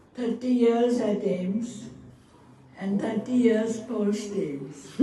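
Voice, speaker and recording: A woman at a fairly high pitch with ordinary pitch variation, very slow pace, audible room echo and noticeable background noise. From northern India (Punjab). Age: 90s. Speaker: retired physician. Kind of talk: ceremonial speech. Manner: halting.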